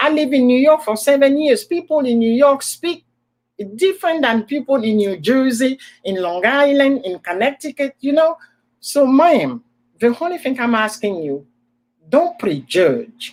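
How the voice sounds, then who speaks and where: In an animated tone, a woman speaks at a high pitch with very wide pitch swings, at a fairly slow pace with long, frequent pauses. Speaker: livestream host. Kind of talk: casual chat. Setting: live stream in front of a computer.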